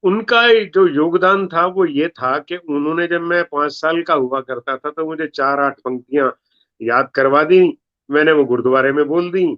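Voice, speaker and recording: With ordinary pitch variation, a man talks in a fairly high register. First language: Punjabi (speaking Hindi). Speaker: comedy poet. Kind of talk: interview.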